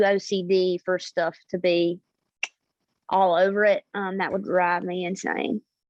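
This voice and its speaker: Speaking in a Southern US accent, a woman holds a medium pitch. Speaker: singer-songwriter. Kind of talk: interview.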